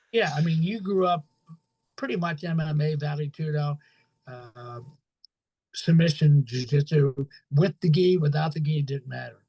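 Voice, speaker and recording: A man speaks with a fairly high pitch and a dark, mellow, somewhat breathy tone, with ordinary pitch variation. He pauses long and often, and the sound is dry and close with no echo. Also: moderate pace. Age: 70s. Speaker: jiu-jitsu professor. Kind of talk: casual interview chat. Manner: animated.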